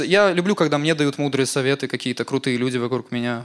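A man's fairly high voice rushes by at a very fast pace, its pitch rising and falling in an ordinary way. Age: 20s. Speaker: stand-up comedian. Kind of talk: stand-up.

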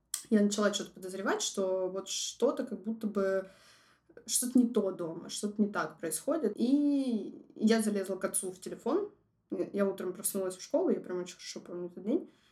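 Her voice medium in pitch with a dark, mellow tone, a woman talks at a moderate pace with lively intonation and big swings in loudness. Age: 20s. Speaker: designer sharing personal story. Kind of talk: personal testimony, casual.

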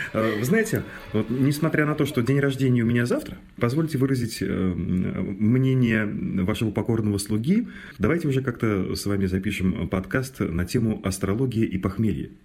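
Speaking at a moderate pace, a man with a plain, everyday voice keeps a medium pitch, ordinary pitch variation and very even loudness. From Mordovia, Russia. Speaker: radio host. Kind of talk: casual chat.

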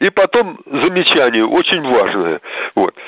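A man is speaking. His pace is very slow. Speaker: caller. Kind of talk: call-in question. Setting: phone call.

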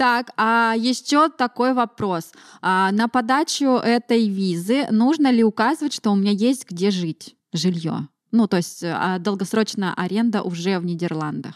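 In a very clean recording with a silent background, a woman uses a plain, everyday voice, fairly high in pitch, with lively intonation. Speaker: podcast host. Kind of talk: casual interview chat.

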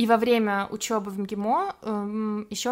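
A woman talks with fairly even intonation and a fairly high pitch. She has an ordinary speaking voice. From Russia, Samara. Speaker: photographer, former parliament staffer. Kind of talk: casual interview.

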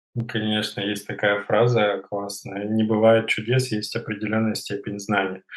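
With hardly any pauses, a man speaks at a fairly low pitch in a monotone, flat intonation. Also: moderate pace. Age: 20s. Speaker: fitness trainer. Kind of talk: interview.

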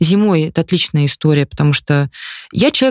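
A woman speaks at a fairly quick pace in a very deep, low voice, recorded dry and close with no echo. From Moscow region, Russia (Khimki). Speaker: communications director and amateur runner. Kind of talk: casual interview.

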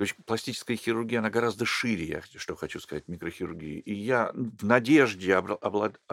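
A man's normal speaking voice at a medium pitch, with ordinary pitch variation and a fairly quick pace, in a very clean recording with a silent background and a dry, close sound with no echo. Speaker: plastic surgeon. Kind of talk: interview.

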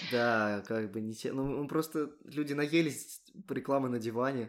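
Here a man speaks in an unremarkable speaking voice, medium in pitch and with ordinary pitch variation, at a moderate pace. The recording is very clean, with a silent background. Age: 20s. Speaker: podcast host, software developer. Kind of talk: casual chat.

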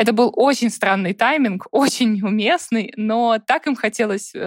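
Very slow speech from a woman, fairly high in pitch with ordinary pitch variation, dry and close with no echo. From Russia, Saint Petersburg. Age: 30s. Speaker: customer success manager and volunteer fundraising coordinator. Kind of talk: casual interview chat. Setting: video call.

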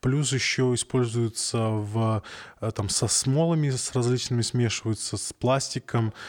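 A man with an unremarkable speaking voice talks at medium pitch and a fairly slow pace with fairly even intonation, and the recording is very clean with a silent background. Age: 30s. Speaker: podcast host. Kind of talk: casual chat.

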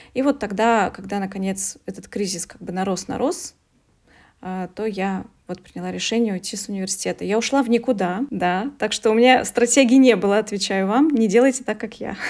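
A woman's plain, everyday voice at medium pitch and a moderate pace, with ordinary pitch variation and big swings in loudness. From Russia, Veliky Novgorod. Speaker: coach and English teacher. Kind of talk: interview.

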